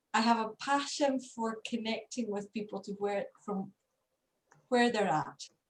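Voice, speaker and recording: A somewhat breathy woman's voice in a Scottish accent, moderate pace and ordinary pitch variation. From Scotland. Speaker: leadership coach, co-host. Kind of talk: video call discussion.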